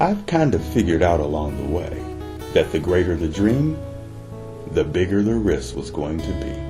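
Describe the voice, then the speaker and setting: Over music in the background, a man with a very deep, low pitch and ordinary pitch variation speaks with long, frequent pauses. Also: moderate pace. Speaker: audio series narrator. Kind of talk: sleep story / ASMR-style audio story narration.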